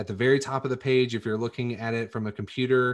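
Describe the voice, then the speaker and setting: A normal speaking voice comes through over a quiet background. The pace is fairly quick and the intonation fairly even. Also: man. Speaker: podcast host. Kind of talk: casual chat.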